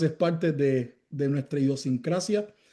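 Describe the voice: A man's dark, mellow tone at a fairly slow pace, with ordinary pitch variation.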